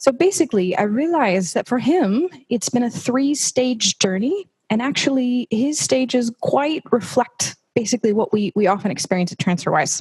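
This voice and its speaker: A woman with an American accent, high in pitch, with very wide pitch swings, very even loudness and hardly any pauses. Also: moderate pace. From United States. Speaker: people team employee giving a talk. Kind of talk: company talk to colleagues. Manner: casual, conversational with many fillers.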